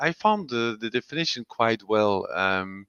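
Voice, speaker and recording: A man with a European accent speaks at medium pitch in a bright, sharp tone. The sound is dry and close with no echo, and the background is quiet. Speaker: industrial lubrication specialist presenter. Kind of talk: webinar presentation. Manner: halting, many fillers.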